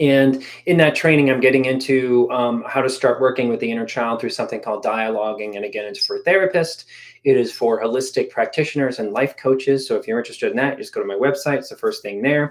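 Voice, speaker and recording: A man speaks at a very fast pace. His voice sits at a medium pitch with ordinary pitch variation. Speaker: therapist and YouTuber. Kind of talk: live stream Q&A. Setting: live stream.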